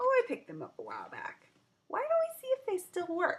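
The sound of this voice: A woman's put-on character voice at an extremely high pitch, with very wide pitch swings and a moderate pace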